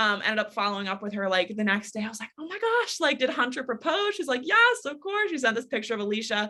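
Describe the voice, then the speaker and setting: Animated and lively in intonation, a woman with a fairly high pitch races along at a very fast pace with hardly any pauses. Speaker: sales trainer. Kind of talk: sales training talk.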